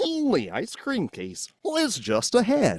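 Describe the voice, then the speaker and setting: A put-on character voice, fairly high in pitch, drawls along at a fairly slow pace. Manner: dopey, drawling.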